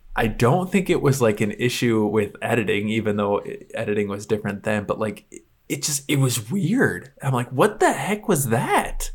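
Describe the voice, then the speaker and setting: Somewhat breathy, a man at medium pitch moves through very wide pitch swings at a moderate pace with hardly any pauses. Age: 20s. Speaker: movie podcast co-host. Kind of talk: casual chat.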